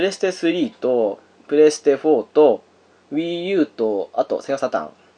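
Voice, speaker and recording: This man talks at a fairly slow pace. The sound is dry and close, with no echo. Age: 30s. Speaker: podcast host. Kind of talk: casual chat.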